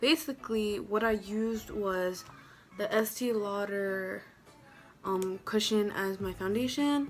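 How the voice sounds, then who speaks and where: Faint music plays in the background as a woman with a fairly high pitch speaks at a fairly slow pace. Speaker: beauty vlogger. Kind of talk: tutorial. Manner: casual. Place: home room. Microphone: phone near.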